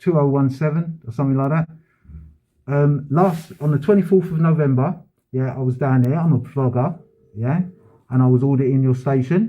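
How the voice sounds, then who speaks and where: A somewhat breathy man's voice, fairly high in pitch, with ordinary pitch variation and long, frequent pauses. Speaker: vlogger filming a complaint at a police station. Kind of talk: heated complaint at a police front desk. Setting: police station front office. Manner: fast.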